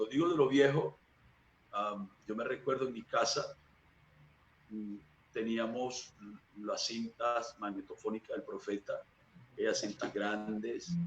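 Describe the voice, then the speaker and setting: Long, frequent pauses break up a man's fairly slow pace. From Venezuela, Barcelona (Anzoátegui). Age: 40s. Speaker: church minister. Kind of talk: interview testimony.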